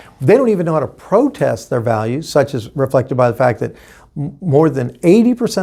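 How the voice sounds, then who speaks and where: Speaking at a very fast pace with an American accent, the man has a dark, mellow, somewhat breathy tone and lively intonation. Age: 60s. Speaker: political candidate. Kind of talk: interview.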